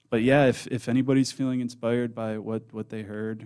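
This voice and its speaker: A man speaks with an American accent. His dark, mellow tone stays monotone and flat. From Michigan, Metro Detroit. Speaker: music teacher and nonprofit director. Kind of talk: casual interview. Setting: studio.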